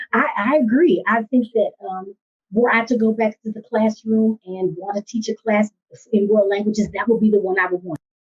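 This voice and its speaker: A woman speaks at a moderate pace. Her fairly high voice sounds somewhat breathy. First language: Spanish. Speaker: school district language coordinator. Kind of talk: podcast interview. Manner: animated.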